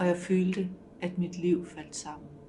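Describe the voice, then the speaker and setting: Over music in the background, a woman with a fairly low pitch speaks at a very slow pace amid audible room echo. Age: 60s. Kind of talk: testimony.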